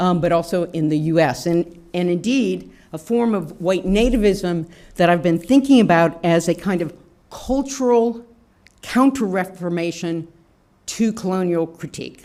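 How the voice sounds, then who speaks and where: A woman with an American accent speaks in a normal speaking voice at a moderate pace, her fairly low pitch carried by lively intonation. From US South, Shreveport Louisiana. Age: 60s. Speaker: anthropology professor. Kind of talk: lecture.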